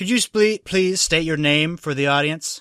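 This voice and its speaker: Someone performs a put-on character voice on a very clean recording with a silent background. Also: man, fairly high pitch for a man, moderate pace. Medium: actual play. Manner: smug, leading.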